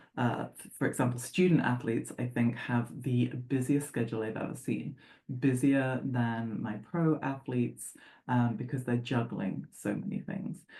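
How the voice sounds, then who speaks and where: Very deep and low, a woman's voice carries vocal fry and big swings in loudness, with ordinary pitch variation at a moderate pace. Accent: English. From England. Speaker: sports psychologist. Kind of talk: presentation. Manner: conversational with filler words.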